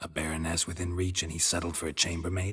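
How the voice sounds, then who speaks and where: In a put-on character voice, a man delivers a deadpan tone at a very deep, low pitch, with monotone, flat intonation and a very fast pace. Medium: video game. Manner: deadpan, laconic.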